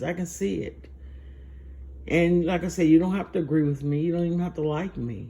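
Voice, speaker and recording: A woman speaks in a very deep, low pitch with a dark, mellow, somewhat breathy tone. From US South. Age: 60s. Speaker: vlogger. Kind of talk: personal monologue.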